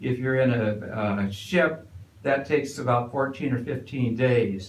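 A man's voice carries audible room echo. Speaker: resident lecturer. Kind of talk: lecture. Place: hall.

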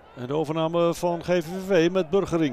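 The speaker has an excited tone and a fairly slow pace. Noticeable background noise runs underneath. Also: man. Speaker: football commentator. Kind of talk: football commentary. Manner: urgent, excited at chances.

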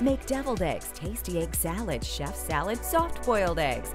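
Moderate pace, with music in the background. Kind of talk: TV commercial read.

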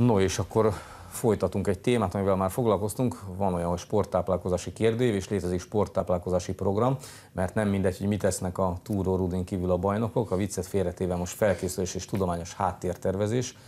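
At a very fast pace, a man talks in a very deep, low pitch with a dark, mellow tone and fairly even intonation. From Hungary. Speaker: sports TV host. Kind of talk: TV interview. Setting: studio. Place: studio. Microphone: lapel.

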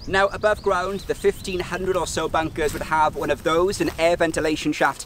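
The man talks at a fairly quick pace. The sound is dry with no echo, with light background noise. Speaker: travel vlogger. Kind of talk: documentary-style vlog narration. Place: open country.

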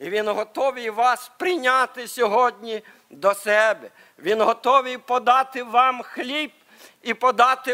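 A man speaks at a very slow pace, his raised, projected voice extremely high in pitch with ordinary pitch variation. His tone is bright and sharp, over a quiet background. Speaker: preacher. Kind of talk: sermon. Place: church. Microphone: podium.

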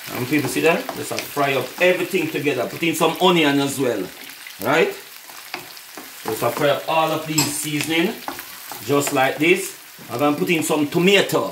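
With audible room echo behind it, a fairly bright voice moves at a moderate pace with lively intonation. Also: man, fairly high pitch for a man.

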